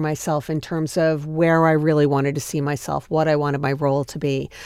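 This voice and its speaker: A woman with an American accent speaks at a moderate pace, with a dry, close sound with no echo, on a very clean recording with a silent background. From US Northeast, Long Island. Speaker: fitness entrepreneur. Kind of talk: interview. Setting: studio.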